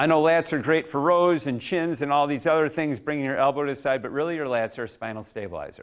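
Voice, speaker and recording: An unremarkable speaking voice from a man, fairly high in pitch with ordinary pitch variation and a fairly quick pace, in a very clean recording with a silent background. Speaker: coach. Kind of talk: live demonstration workshop.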